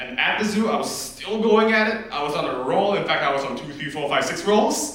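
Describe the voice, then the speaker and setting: Noticeable background noise and audible room echo surround a man speaking in a Chinese accent at a moderate pace. His tone is animated, with very wide pitch swings. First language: Mandarin Chinese. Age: young. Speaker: student comedian. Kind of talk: stand-up.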